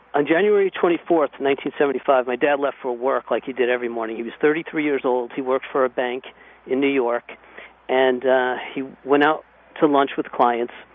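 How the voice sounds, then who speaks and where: Using a plain, everyday voice, a man talks at a moderate pace, his medium pitch carried by fairly even intonation. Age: 40s. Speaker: son of a terrorism victim. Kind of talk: radio interview.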